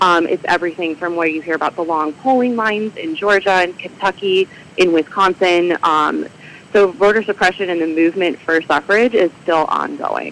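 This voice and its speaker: Through noticeable background noise, a woman speaks at a fairly low pitch. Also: ordinary pitch variation, moderate pace. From Michigan. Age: 30s. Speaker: civic group president and librarian. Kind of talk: radio interview.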